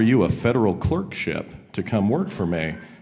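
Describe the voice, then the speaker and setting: A man with a Southern US accent, fairly low in pitch with lively intonation, in audible room echo. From Arkansas, Fort Smith. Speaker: country singer and attorney. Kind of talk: casual chat on stage.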